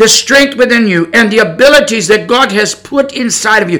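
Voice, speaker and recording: With an American accent, a man projects a raised voice at an extremely high pitch, his tone bright and sharp. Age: 60s. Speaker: preacher. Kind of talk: sermon. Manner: halting.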